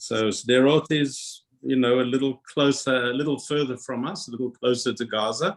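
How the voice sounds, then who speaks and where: Vocal fry marks this man's medium-pitched voice. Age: 70s. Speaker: retired industry worker, former synagogue member. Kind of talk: video call interview. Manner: halting, many fillers.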